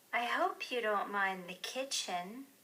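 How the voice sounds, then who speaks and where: Using a put-on character voice, a woman speaks at a fairly high pitch. Her pitch swings very widely, and her pace is fairly slow. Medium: read story. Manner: warm, smiling.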